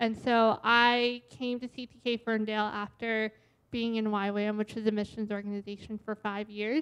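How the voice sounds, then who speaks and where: An American accent, a monotone, flat delivery and a moderate pace. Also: woman, fairly high pitch for a woman. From US Northeast, Boston area. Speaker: church staff administrator. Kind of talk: personal testimony. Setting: church service with congregation.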